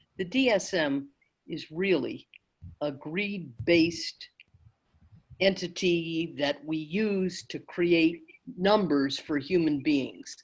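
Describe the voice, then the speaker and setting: With an American accent, a woman talks at a very slow pace, using ordinary pitch variation and long, frequent pauses. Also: fairly low pitch for a woman. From northeastern Pennsylvania, Wilkes-Barre. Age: 80s+. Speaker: psychologist and panelist. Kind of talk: panel discussion.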